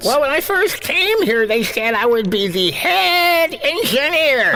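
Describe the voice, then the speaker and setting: A put-on character voice is used here. The pace is fairly slow. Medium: audio drama. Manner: earnest, excitable.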